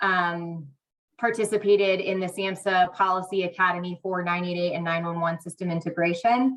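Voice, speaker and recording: Her pitch is medium for a woman and her intonation monotone and flat. She speaks at a moderate pace. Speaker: state crisis line program manager. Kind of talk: meeting presentation. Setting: hybrid meeting, remote or in person.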